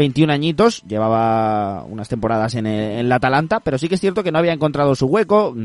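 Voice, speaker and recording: In a normal speaking voice, a man talks at a fairly quick pace with lively intonation. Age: 20s. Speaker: football podcast host. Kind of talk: casual football talk.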